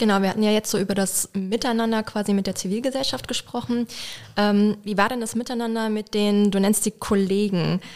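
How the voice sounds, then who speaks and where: Speaking at a fairly quick pace, a woman uses an unremarkable speaking voice at medium pitch with fairly even intonation. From Mülheim-Kerlich, near Koblenz. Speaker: podcast co-host. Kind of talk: casual interview.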